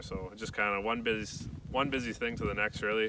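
A man with a Canadian accent, fairly low in pitch, with fairly even intonation, dry sound with no echo and noticeable background noise. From Canadian Prairies. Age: 20s. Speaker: YouTuber. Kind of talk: casual vlog.

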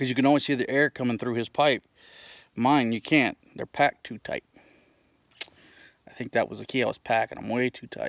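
Over a quiet background, a man speaks in monotone, flat intonation with a dry sound that has no echo. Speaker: pipe smoking vlogger. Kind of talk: casual vlog chat. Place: open country. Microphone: phone near.

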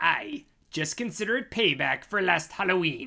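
A female-sounding, cartoonish character voice speaks at a moderate pace in a middle pitch. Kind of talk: comic overacting. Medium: puppet show. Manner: gleeful, gloating.

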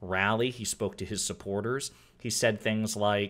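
A man's monotone, flat intonation comes at a moderate pace. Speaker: political commentator. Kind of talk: commentary. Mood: wry, sarcastic. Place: home room.

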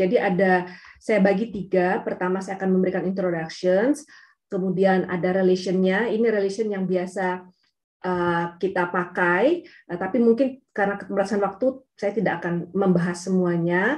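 Speaking at a moderate pace, a woman holds a medium pitch with fairly even intonation. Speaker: geophysicist speaker; speaker. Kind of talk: technical webinar presentation. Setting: video call. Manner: hesitant, many fillers. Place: home room. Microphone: webcam.

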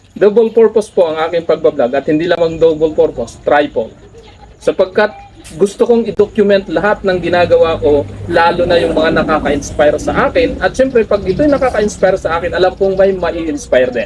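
A man speaks at a fairly quick pace with lively intonation. His voice is high-pitched, with noticeable background noise behind it. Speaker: vlogger, former teacher. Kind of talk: motivational talk.

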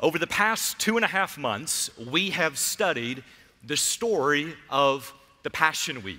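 At a fairly slow pace, a man talks in a bright, sharp tone. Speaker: pastor. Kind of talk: sermon. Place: church. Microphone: headset.

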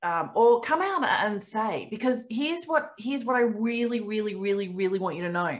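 At a moderate pace, a woman with an Australian accent speaks at a fairly high pitch. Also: quiet background. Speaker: company founder hosting a member webinar; webinar host. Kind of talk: casual webinar Q&A. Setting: video call. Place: home room. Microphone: webcam.

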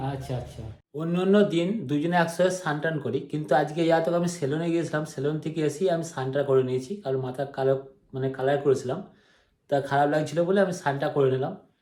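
This man's voice has a dark, mellow tone, a fairly high pitch and fairly even intonation. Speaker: vlogger. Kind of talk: casual chat.

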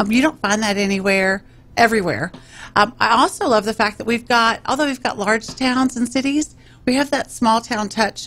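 A woman speaks in a Texan accent at a moderate pace. Her pitch is fairly high. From Texas (Round Rock, central Texas); Texas. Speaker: mayor and political candidate; mayor, candidate. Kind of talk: radio interview. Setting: radio studio. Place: studio. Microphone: studio mic.

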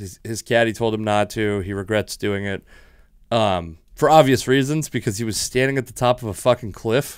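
A man with an American accent speaks in an unremarkable speaking voice at medium pitch and a moderate pace, with ordinary pitch variation and a quiet background. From Washington state, US. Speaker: comedian and podcast host; comedian, podcast host. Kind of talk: casual chat. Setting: home studio. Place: studio. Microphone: studio mic.

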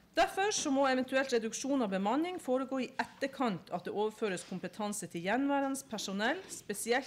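A woman is speaking at a moderate speed. Her voice moves across a very wide pitch range. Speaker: council member presenting a case. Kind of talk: formal presentation reading case papers. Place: hall.

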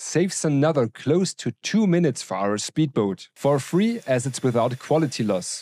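A man with a German accent has a fairly high pitch and a dark, mellow tone. His pitch swings very widely at a moderate pace. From Bavaria, Germany. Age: 40s. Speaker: 3D printing YouTuber. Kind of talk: casual chat; tutorial. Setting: workshop.

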